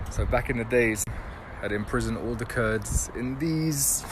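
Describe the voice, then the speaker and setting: Someone with a London accent talks against noticeable background noise. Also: man. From London, UK. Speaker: travel vlogger. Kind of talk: casual talk to camera. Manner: enthusiastic.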